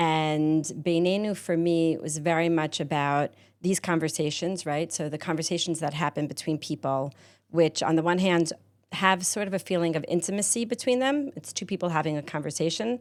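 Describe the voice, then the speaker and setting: A voice at a moderate pace with ordinary pitch variation, recorded very cleanly against a silent background. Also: woman, fairly low pitch for a woman. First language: not Hebrew. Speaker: podcast studio owner. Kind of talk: interview conversation.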